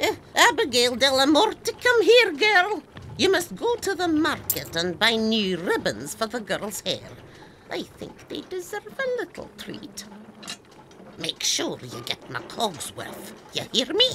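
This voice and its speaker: Using a cartoonish character voice, a woman talks at a high pitch. Her pitch swings very widely at a fairly slow pace. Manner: imperious, snappish.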